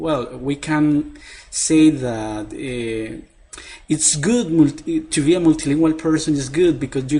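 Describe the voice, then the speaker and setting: A man speaks at a very slow pace. His pitch sits fairly high, and he has a Spanish accent. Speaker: professor. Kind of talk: interview answer. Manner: halting.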